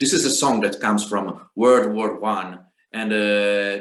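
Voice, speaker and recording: A man with an Italian accent at a fairly slow pace, with audible room echo. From Italy. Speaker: singer and guitarist. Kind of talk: spoken song introduction. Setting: video call. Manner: halting, many hesitations.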